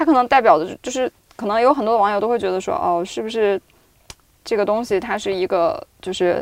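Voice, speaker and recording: A woman speaks in a plain, everyday voice at a medium pitch and moderate pace, with ordinary pitch variation. The sound is dry and close, with no echo. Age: 30s. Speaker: video producer. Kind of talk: casual chat.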